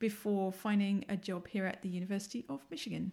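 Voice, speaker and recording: In a strong London accent, a woman talks at a moderate pace and medium pitch, her dark, mellow tone somewhat breathy and her intonation fairly even, on a very clean recording with a silent background. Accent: London English, still fairly strong. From London, England. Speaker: assistant professor. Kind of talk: casual interview chat.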